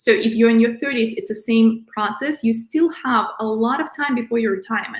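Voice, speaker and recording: Here is a woman with a plain, everyday voice, pitched fairly high, with ordinary pitch variation. She talks at a fairly quick pace with hardly any pauses. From outside the US, immigrant. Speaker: financial advisor. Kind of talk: interview, financial advice.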